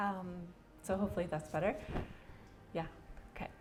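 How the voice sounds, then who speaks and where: There is audible room echo around this woman's voice. Her pitch is fairly low, with ordinary variation. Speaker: arts consultant and facilitator. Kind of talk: presentation talk. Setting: event with live audience.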